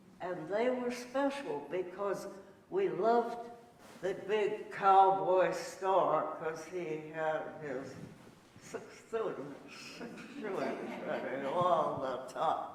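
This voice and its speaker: With an American accent, a woman speaks at a very slow pace in a medium pitch with lively intonation and long, frequent pauses, amid audible room echo and noticeable background noise. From US Midwest, Cincinnati, Ohio. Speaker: elderly woman telling her life story. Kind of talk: life story talk to an audience. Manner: halting, with many fillers.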